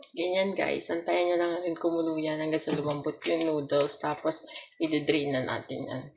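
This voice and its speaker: Over noticeable background noise, a woman speaks at a moderate pace in a very deep, low voice with monotone, flat intonation. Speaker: vlogger. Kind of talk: casual vlog chat. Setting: home kitchen at night. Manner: soft-spoken.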